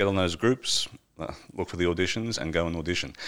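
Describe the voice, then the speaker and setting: The voice belongs to a man with an Australian accent. It sits very deep and low. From Wagga Wagga, Australia. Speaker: actor, filmmaker and parliamentary media technician. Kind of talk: casual interview chat. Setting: studio.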